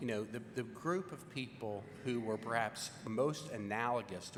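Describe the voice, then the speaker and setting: This man speaks with a Virginia accent at a medium pitch, his pitch varying in an ordinary way. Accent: Virginia Southern American. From Richmond, Virginia, US South. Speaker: legal scholar witness. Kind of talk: congressional hearing testimony. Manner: slow.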